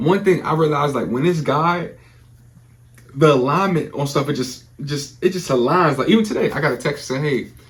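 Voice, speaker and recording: A man with an American accent speaks in an energetic tone. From Prince George's County, Maryland. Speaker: motivational speaker. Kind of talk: podcast interview answer. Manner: casual, energetic.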